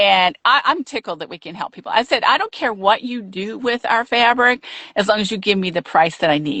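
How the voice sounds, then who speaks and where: A woman speaks in a normal speaking voice at a fairly quick pace, her fairly high pitch carried by lively intonation and big swings in loudness. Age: 60s. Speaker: quilt shop owner. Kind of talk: interview. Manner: casual conversational.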